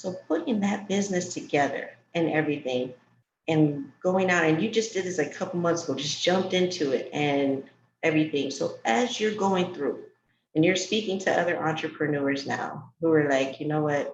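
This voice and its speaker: A woman with an American accent speaks at a moderate pace in an ordinary speaking voice. Her pitch is fairly low, with ordinary variation. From New York. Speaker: talk show host for entrepreneurs. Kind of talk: casual interview chat.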